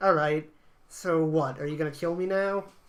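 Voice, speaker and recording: A whiny, put-on character voice at a middle pitch and a moderate pace. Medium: read story. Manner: whiny, nervous.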